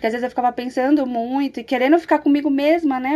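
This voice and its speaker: This is a woman speaking. Her pitch is high. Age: 30s. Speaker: mother, pedagogue. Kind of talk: casual chat.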